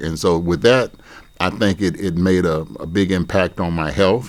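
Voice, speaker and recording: Very deep and low, a man's voice with an American accent moves at a moderate pace with ordinary pitch variation. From Pasco, Washington, US Pacific Northwest. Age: 70s. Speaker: oral history interviewee. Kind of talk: oral history interview. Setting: university campus. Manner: conversational, storytelling.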